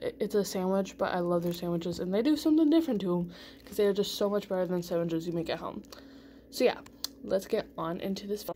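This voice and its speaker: A woman at a very fast pace, her tone dark and mellow, over light background noise. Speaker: vlogger. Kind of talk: casual vlog chat. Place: kitchen. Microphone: phone near.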